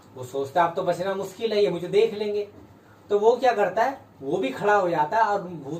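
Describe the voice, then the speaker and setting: Over noticeable background noise, a man speaks at a moderate pace in a high voice with ordinary pitch variation. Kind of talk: casual storytelling to camera.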